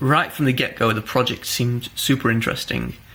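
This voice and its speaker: There is noticeable background noise as a man talks fairly quickly at a medium pitch with fairly even intonation. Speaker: climber and vlogger. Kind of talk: casual vlog talk.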